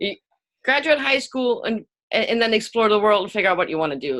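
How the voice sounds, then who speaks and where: Speaking at a fairly quick pace with a non-native accent, a woman uses a bright, sharp tone and very wide pitch swings. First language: not English. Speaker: author and business owner. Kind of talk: interview conversation. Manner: hesitant, with many fillers and repeated words.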